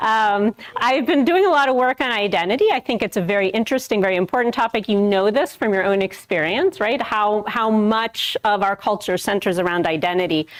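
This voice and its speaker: A woman with a fairly high pitch speaks at a fairly quick pace, her intonation lively and her loudness very even, with noticeable background noise. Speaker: professor. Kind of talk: lecture.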